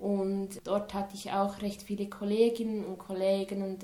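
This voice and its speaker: In a monotone, flat intonation, a woman talks at a medium pitch. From Switzerland, near Lucerne. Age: 20s. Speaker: student teacher. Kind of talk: interview. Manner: halting.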